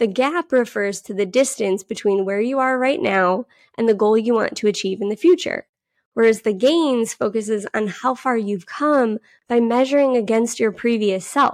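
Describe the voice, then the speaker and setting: A woman with an ordinary speaking voice and a fairly high pitch talks at a moderate pace with ordinary pitch variation, heard dry and close with no echo over a quiet background. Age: 30s. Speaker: career coach and podcast host. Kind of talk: solo podcast monologue.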